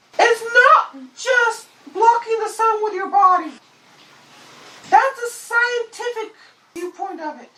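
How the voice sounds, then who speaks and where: This put-on character voice is squeaky and extremely high in pitch. Long pauses come often. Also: fairly slow pace. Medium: solo performance. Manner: calm, explanatory, refers to itself as we.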